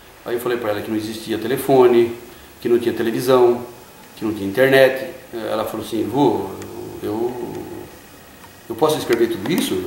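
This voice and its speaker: Lively intonation marks a man's speech at a moderate pace. Audible room echo and noticeable background noise surround him. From interior of São Paulo state, Brazil (Itapetininga area). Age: 50s. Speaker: interviewee sharing life story. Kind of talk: interview. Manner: hesitant, with fillers.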